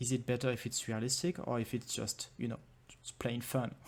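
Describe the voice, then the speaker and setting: A man talks with a French accent. His pitch is medium and his pace moderate. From France. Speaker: game developer and conference speaker. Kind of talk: conference talk. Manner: hesitant, many fillers.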